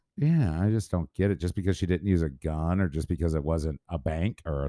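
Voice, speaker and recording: On a very clean recording with a silent background and a dry, close sound with no echo, a man with an American accent talks at a fairly quick pace in a very deep, low pitch and a dark, mellow tone. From St. Louis area, Missouri. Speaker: podcast co-host, auctioneer. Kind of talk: casual chat.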